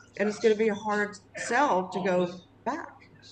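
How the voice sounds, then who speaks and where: A woman speaks over noticeable background noise. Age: 60s. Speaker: local resident. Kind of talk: casual chat.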